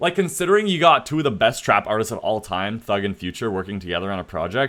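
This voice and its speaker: A man talks at a very fast pace with very wide pitch swings. The recording is very clean, with a silent background. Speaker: streamer / YouTuber. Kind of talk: casual commentary on livestream. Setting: livestream with chat. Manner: casual, filler-heavy.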